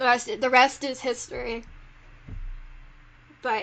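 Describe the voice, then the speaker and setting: A woman with a Southern US accent and a high voice, at a moderate pace, against a quiet background. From South Carolina. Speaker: podcast host. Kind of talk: casual chat.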